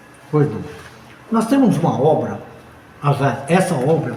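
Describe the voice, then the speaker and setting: A man's lively intonation comes through noticeable background noise and audible room echo. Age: 80s+. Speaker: spiritist teacher. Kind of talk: interview. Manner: animated.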